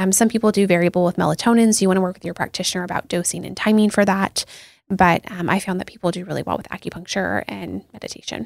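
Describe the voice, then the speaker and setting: A woman with a medium-pitched voice and vocal fry talks at a very fast pace with fairly even intonation and big swings in loudness. The sound is dry and close, with no echo. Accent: American. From US Pacific Northwest, Seattle. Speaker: dietitian. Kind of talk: interview. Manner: frequent fillers (um, like).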